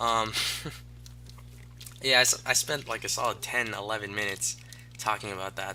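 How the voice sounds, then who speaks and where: A man talks with a bright, sharp, animated tone. His pace is moderate. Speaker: gaming commentator. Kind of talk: let's play commentary. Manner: halting, stuttering; casual, animated.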